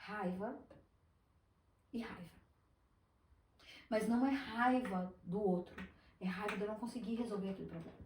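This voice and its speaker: At a moderate pace, a woman with a fairly high, somewhat breathy voice and fairly even intonation talks with long, frequent pauses in audible room echo. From Brazil, Espírito Santo. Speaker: business owner, former teacher. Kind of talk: podcast interview.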